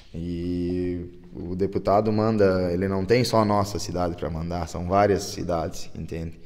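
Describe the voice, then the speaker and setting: Fairly even intonation carries the speech along at a moderate pace. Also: man, very deep, low pitch for a man. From Selbach, Rio Grande do Sul, southern Brazil; Rio Grande do Sul, Brazil. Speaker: town councillor. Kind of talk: interview; interview answer. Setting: on location in council chamber. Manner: halting, many repetitions. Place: meeting room. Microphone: handheld.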